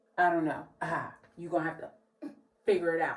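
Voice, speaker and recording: A woman with an American accent and a fairly low pitch speaks in an animated tone over noticeable background noise. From New Jersey. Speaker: beauty vlogger. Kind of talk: casual vlog.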